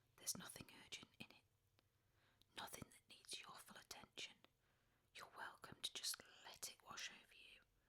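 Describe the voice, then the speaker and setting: In a whisper, the speaker moves at a moderate pace but stops for long, frequent pauses. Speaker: sleep story narrator. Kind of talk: sleep story.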